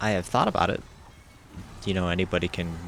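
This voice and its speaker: In a very deep, low voice, a man speaks with monotone, flat intonation. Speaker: gaming YouTuber. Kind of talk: casual gameplay commentary. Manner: rambling, hesitant with fillers.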